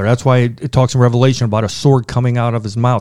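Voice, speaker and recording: A man speaks at a very fast pace and medium pitch. The recording is very clean, with a silent background. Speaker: pastor and theologian. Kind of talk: podcast Q&A answering theology questions. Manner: intense.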